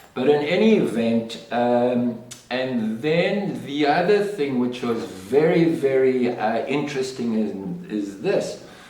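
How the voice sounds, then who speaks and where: Speaking very slowly with hardly any pauses, a man uses lively intonation at a medium pitch. The recording has audible room echo and noticeable background noise. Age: 60s. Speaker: podcast host. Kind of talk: personal monologue podcast. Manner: halting, many fillers and repeats.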